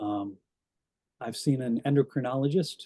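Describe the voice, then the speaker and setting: A man speaks with a dark, mellow tone. His pace is fairly slow. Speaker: brain injury survivor sharing experience. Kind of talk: talk to a club audience. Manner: slurred, halting speech.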